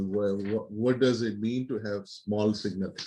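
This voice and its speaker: Fairly even intonation and a dark, mellow tone mark this man's speech at a moderate pace. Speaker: university lecturer. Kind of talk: lecture. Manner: halting, with repeated words.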